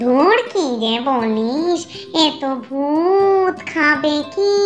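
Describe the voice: A woman puts on a cartoonish character voice, high-pitched and very slow, with clear music playing in the background.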